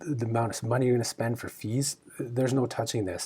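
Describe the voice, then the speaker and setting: A man with a Canadian accent talks at medium pitch. His voice is somewhat breathy. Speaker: travel rewards video host. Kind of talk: casual news discussion. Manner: halting, filler-heavy; animated.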